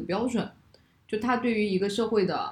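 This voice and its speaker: At a fairly quick pace, a woman talks at medium pitch in a plain, everyday voice. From China. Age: 30s. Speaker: podcast host. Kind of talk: casual chat.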